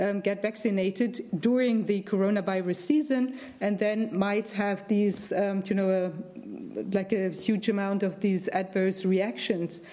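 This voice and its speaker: With noticeable background noise, a woman with a German accent speaks at a medium pitch and moderate pace, her intonation fairly even. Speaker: lawyer, committee member. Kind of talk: interview. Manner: halting.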